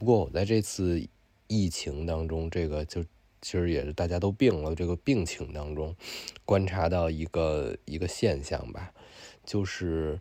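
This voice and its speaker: In a very clean recording with a silent background, a man speaks at a fairly slow pace in a very deep, low pitch, his tone dark and mellow and his pitch variation ordinary. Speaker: podcast co-host. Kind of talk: casual chat.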